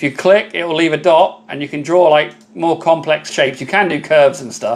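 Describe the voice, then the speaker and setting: A man with a British accent, fairly high pitch, fairly quick pace, big swings in loudness and noticeable background noise. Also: ordinary pitch variation. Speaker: laser engraving content creator. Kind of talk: live stream tutorial with viewer chat. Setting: live stream. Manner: casual, chatty.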